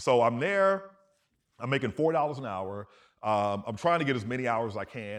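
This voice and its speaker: A man's normal speaking voice at a fairly quick pace, with ordinary pitch variation. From US South. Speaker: astrophysicist. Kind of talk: interview chat. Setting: stage with audience.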